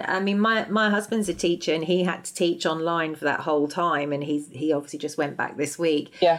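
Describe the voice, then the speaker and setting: With an ordinary speaking voice, a woman talks at a fairly quick pace in a fairly low pitch, hardly pausing at all. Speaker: podcast host. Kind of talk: casual interview chat.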